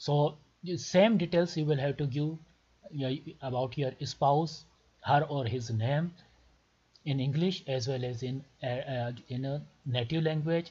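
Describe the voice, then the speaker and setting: A man with a Pakistani accent speaks at a fairly high pitch, with ordinary pitch variation and a dark, mellow, somewhat breathy tone. His pace is fairly slow, broken by long, frequent pauses. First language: Urdu. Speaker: doctor making visa tutorials. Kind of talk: tutorial.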